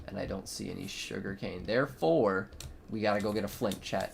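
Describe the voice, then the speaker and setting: A man's fairly low-pitched voice against noticeable background noise. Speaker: gaming streamer. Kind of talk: casual chat. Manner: animated.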